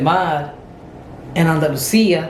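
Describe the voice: There is audible room echo as a woman speaks in a low pitch with a slightly mellow tone.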